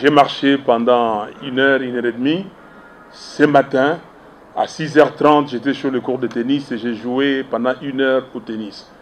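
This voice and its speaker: The speaker has a Congolese accent and talks at a fairly slow pace. The intonation stays fairly even. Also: man. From DR Congo, Kinshasa. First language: Lingala (speaking French). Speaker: opposition politician. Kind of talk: press conference.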